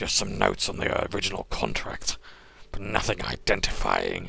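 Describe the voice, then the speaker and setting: A put-on character voice comes at a moderate pace over clear background noise. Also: man. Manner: grudging, wary.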